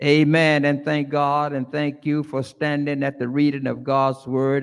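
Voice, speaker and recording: A man's fairly slow delivery against a quiet background. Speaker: pastor. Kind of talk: prayer and service leading. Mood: solemn, earnest. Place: church. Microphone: podium.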